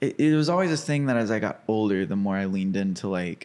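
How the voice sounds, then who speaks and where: Speaking at a very fast pace, a man with an American accent uses lively intonation. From Arkansas, US. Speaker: filmmaker. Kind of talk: casual interview chat. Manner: casual, filler-heavy.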